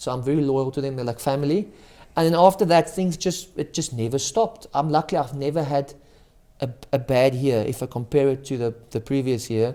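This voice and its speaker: This man talks at a fairly quick pace with a South African accent. His pitch shows ordinary variation. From South Africa, Cape Town area. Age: young. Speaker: magician. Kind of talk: casual interview.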